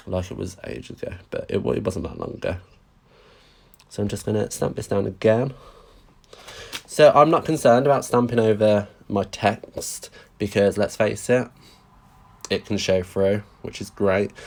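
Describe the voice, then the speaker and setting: Speaking in a Brummie accent, a man with a fairly low, vocal-fried voice sounds animated, with ordinary pitch variation and long, frequent pauses. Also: moderate pace, big swings in loudness. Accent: Birmingham (Brummy). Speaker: craft demonstrator. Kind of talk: live craft tutorial. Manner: chatty, animated.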